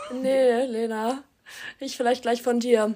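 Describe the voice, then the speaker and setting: A woman's fairly high voice, monotone and flat, at a moderate pace on a very clean recording with a silent background. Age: young. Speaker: university student. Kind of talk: casual chat.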